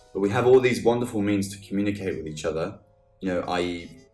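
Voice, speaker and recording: There's music behind the voice. The speaker is a man with a fairly low pitch. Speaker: podcast host. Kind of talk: casual podcast talk.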